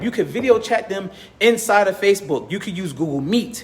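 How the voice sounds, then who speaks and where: There is noticeable background noise as a man speaks at a moderate pace. His high-pitched voice sounds animated, with ordinary pitch variation. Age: 30s. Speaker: business community organizer and content creator. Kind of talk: motivational talk to camera.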